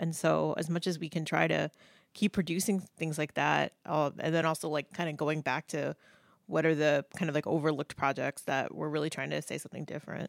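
A woman's very deep, low pitch with vocal fry, monotone, flat intonation and a fairly quick pace, in a dry, close sound with no echo on a very clean recording against a silent background. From Indianapolis, Indiana. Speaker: professor of media studies. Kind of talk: casual chat.

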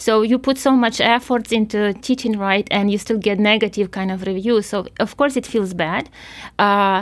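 A woman's medium-pitched voice with a Ukrainian accent, at a moderate pace with ordinary pitch variation. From Ukraine. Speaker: physics professor. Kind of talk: interview. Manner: hesitant, many fillers.

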